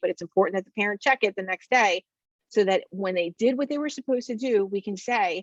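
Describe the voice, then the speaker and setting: A woman speaks with ordinary pitch variation in a dry, close sound with no echo. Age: 40s. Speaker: counselor. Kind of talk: webinar presentation. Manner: filler-heavy, conversational.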